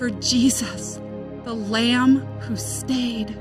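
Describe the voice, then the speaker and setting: Music runs behind a woman as she talks. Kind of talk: spoken word poetry reading.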